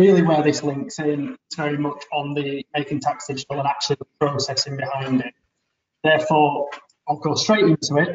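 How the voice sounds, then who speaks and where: Speaking with a Leeds accent, a man with a fairly high pitch talks at a moderate pace with fairly even intonation. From Leeds, northern England. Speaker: business advisor. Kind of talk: webinar presentation.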